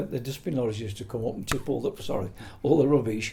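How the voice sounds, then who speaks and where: A man talks fairly quickly, his voice somewhat breathy. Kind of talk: interview answer, oral history reminiscence. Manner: casual, conversational.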